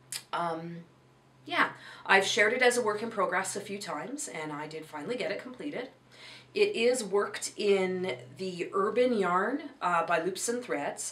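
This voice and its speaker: With noticeable background noise behind her, a woman's voice swings very widely in pitch. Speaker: crochet and knitting vlogger. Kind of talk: casual vlog chat. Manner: rambling, hesitant with fillers.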